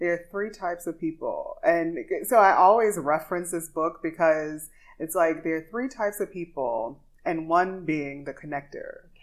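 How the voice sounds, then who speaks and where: A woman speaks with a Louisiana accent at a fairly low pitch. Her pace is fairly slow, with ordinary pitch variation. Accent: Southern US, Louisiana. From Louisiana, US. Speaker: podcast host and singer. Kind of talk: casual interview chat. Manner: animated, upbeat.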